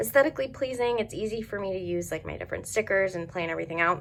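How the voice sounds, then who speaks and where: In an American accent, a woman with an unremarkable speaking voice talks at medium pitch with lively intonation. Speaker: planner youtuber. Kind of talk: product review. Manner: casual, filler-heavy.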